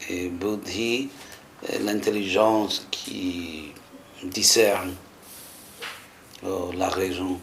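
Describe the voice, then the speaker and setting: A man with a very deep, low pitch and fairly even intonation, very slow with long, frequent pauses, amid audible room echo and noticeable background noise. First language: English (speaking French). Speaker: spiritual teacher and scholar. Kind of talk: lecture. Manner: halting, searching for French words.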